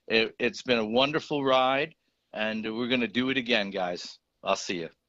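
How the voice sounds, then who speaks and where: Over a quiet background, a man with an American accent talks at a medium pitch and moderate pace, his tone bright and sharp and his pitch variation ordinary. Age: 60s. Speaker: caller, longtime hockey fan. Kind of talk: casual chat.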